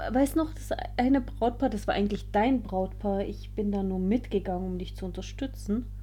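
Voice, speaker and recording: A woman at a moderate pace, with audible room echo. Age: 30s. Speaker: wedding photographer. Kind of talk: casual chat.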